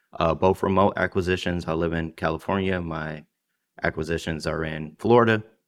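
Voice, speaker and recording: Speaking at a fairly quick pace with fairly even intonation, a man with an American accent has a very deep, low pitch, captured on a very clean recording against a silent background. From Detroit, Michigan. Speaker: business owner, former finance worker. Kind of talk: panel discussion.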